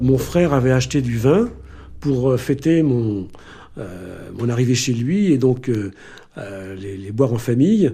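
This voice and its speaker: Male voice of medium pitch and dark, mellow tone, fairly slow in pace, with ordinary pitch variation. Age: 70s. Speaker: retired doctor, victim's brother. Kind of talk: testimony. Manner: hesitant.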